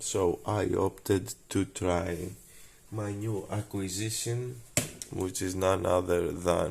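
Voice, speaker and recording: A man's very deep, low voice with vocal fry and a Greek accent, at a very slow pace, in a very clean recording with a silent background. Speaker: scale modeller. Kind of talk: tutorial. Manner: halting; casual.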